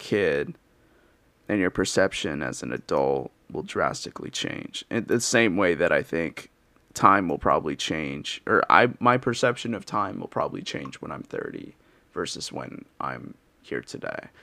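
Over a silent background in a very clean recording, the speech moves at a fairly slow pace with big swings in loudness. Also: man. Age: 20s. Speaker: solo podcaster. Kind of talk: casual solo monologue. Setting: home recording with cheap mic. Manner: halting, many fillers and restarts.

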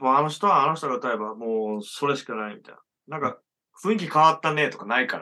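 Speaking very fast, a man with a fairly high pitch uses lively intonation and a bright, sharp tone, his loudness swinging widely. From Japan, rural Hyogo near Okayama. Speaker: musician and illustrator. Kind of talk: casual chat.

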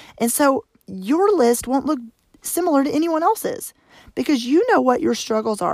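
The speaker has an American accent. The pitch swings are very wide. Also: woman. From Arkansas, US South. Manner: fast talker.

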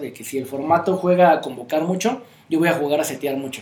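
A plain, everyday voice at a fairly quick pace. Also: man. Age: 30s. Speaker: card game player, co-host. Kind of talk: casual chat.

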